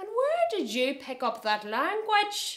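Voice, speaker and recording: In a loud, put-on character voice, a high-pitched, female-sounding speaker moves at a fairly slow pace with very wide pitch swings. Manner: scolding, putting on airs.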